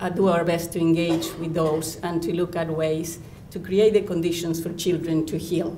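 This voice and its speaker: In a non-native accent, a woman with a fairly low pitch speaks at a moderate pace, with audible room echo. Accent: noticeable foreign. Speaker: children's counsellor. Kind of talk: lecture.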